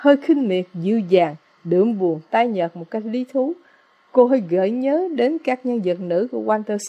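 Lively intonation shapes an unforced reading voice.

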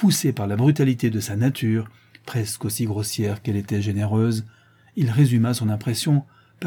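This is plain reading aloud. Pitch varies in an ordinary way.

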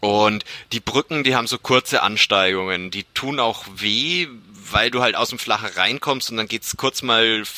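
At a moderate pace, a man with a bright, sharp tone talks at a medium pitch with ordinary pitch variation, the sound dry and close with no echo. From Franconia, Germany (Bamberg). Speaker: amateur triathlete and podcaster. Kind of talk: casual interview chat.

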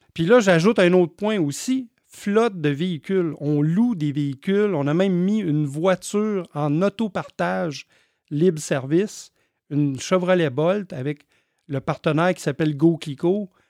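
Speaking at a fairly slow pace over a quiet background, a man with a Quebec accent has a high pitch. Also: dry, close sound with no echo. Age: 50s. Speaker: electric vehicle charging business owner. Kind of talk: interview.

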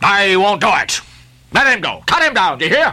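Put-on character voice at a fairly high pitch and a moderate pace. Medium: read story. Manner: curt, commanding.

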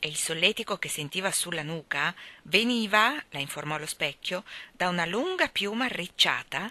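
This is an unforced reading voice. It carries the words plainly.

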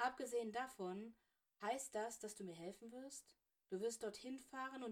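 Ordinary pitch movement in a natural reading voice, the background quiet

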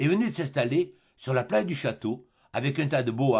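Lively intonation in a plain read-aloud delivery

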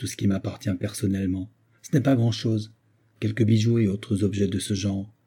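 The delivery is plain reading aloud. Intonation holds fairly even.

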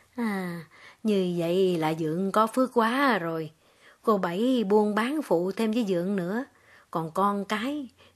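Natural-voiced reading aloud

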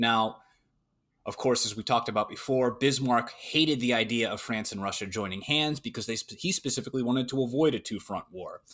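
A man races through his words very fast on an exceptionally clean recording with total background silence. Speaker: history podcast co-host. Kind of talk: casual chat.

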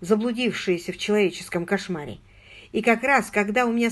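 Ordinary pitch variation runs through this. It is a natural reading voice.

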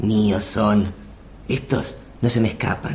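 Using a put-on character voice, a man speaks at a fairly low pitch and a fairly slow pace against clear background noise. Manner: evil, malignant, gloating.

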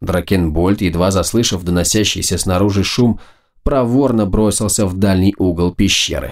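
Unforced reading with pitch that moves in an ordinary way.

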